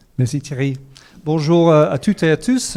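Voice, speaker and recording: A man with an English accent, dark, mellow tone, fairly even intonation. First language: English (speaking French). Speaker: corporate sustainability panelist. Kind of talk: conference talk. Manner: hesitant, many fillers.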